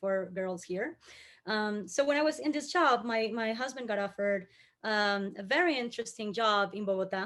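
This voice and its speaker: On a very clean recording with a silent background, someone with a Colombian accent speaks at a moderate pace. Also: woman. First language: Spanish. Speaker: communications professional. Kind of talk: panel discussion.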